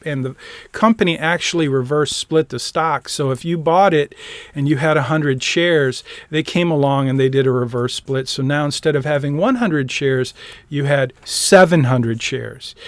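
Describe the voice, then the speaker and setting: This man has an American accent and a fairly high pitch with ordinary pitch variation. He talks at a moderate pace, and the sound is dry and close with no echo. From US Midwest (Lansing, Michigan). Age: 60s. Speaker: personal finance teacher. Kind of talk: lecture. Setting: live-streamed video call. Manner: casual, thinking aloud.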